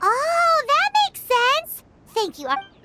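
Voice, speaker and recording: A put-on character voice, squeaky and extremely high, with very wide pitch swings. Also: fairly slow pace. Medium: video game. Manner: hesitant, stammering.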